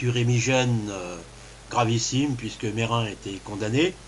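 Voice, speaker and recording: A somewhat breathy man speaks fairly slowly at a medium pitch with ordinary pitch variation. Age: 60s. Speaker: kidney transplant patient. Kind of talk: testimony. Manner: halting.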